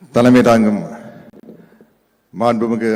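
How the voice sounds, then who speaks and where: This is a man with a medium pitch. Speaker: guest speaker at political event. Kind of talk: public speech.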